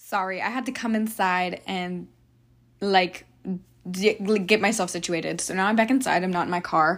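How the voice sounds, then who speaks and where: An unremarkable speaking voice belongs to a woman at medium pitch, recorded very cleanly against a silent background. Her intonation is fairly even and her pace moderate. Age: young. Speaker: solo podcaster and college student. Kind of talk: casual solo monologue. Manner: rambling, filler-heavy.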